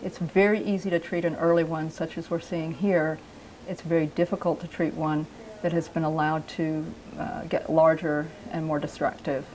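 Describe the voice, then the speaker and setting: In an unremarkable speaking voice, a woman speaks at a moderate pace with a fairly low pitch and fairly even intonation. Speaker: doctor. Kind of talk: doctor talking to patient and interview answer.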